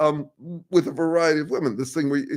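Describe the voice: Speaking fast at a fairly high pitch, a man keeps a slightly mellow tone and fairly even intonation.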